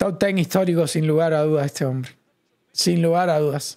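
A man's fairly high voice with a dark, mellow tone. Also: quiet background. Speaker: streamer commentating live fights. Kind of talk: live sports commentary, casual watch-along stream. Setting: online livestream. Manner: animated, fast, chatty, excitable; opinionated, conversational, addresses chat directly. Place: home room. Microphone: studio mic.

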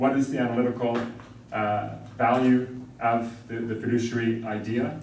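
A man speaks in a monotone with flat intonation. The room echo is audible, and there is light background noise. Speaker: law school dean. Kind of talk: welcome address. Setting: conference room with audience. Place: classroom. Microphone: camera far.

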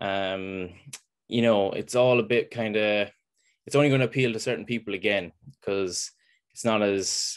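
A man with an Irish accent, fairly low in pitch, at a moderate pace with fairly even intonation, against a quiet background. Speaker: farmer; webinar panelist. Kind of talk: presentation. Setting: video call. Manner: passionate. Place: home room. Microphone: video call.

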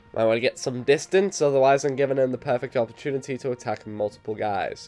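Music plays behind the voice. A man talks very fast. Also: medium pitch for a man, ordinary pitch variation. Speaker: gaming video commentator. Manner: casual, chatty, self-deprecating.

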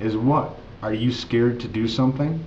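With an American accent, a man speaks at a fairly slow pace and ordinary pitch variation. There is light background noise. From United States. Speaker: English tutor. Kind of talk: ESL lesson talk to camera. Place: home room. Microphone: webcam.

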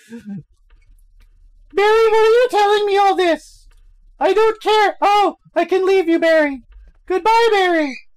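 Put-on character voice at an extremely high pitch, moderate pace, long and frequent pauses. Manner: frantic, whiny.

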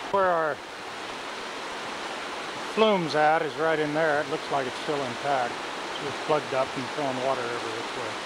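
A man with long, frequent pauses, the sound dry with no echo beneath loud background noise. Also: ordinary pitch variation, moderate pace. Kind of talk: commentary. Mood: concerned, matter-of-fact. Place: waterside. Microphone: old recording.

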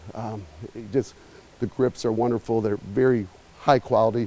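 A man at a moderate pace, his pitch shifting in an ordinary way. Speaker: store owner host. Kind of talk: store tour commentary. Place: shop. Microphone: lapel.

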